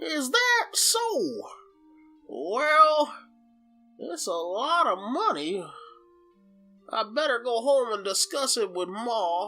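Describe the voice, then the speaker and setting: A put-on character voice at a fairly high pitch unfolds at a very slow pace, with faint music in the background. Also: female-sounding voice. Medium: audio drama. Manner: folksy, drawling.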